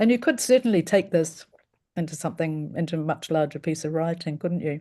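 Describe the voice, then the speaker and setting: The voice has a dark, mellow tone and a New Zealand accent. It moves at a fairly quick pace with ordinary pitch variation. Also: woman, fairly low pitch for a woman. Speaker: event host. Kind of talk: casual chat; introduction of a reader. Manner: halting.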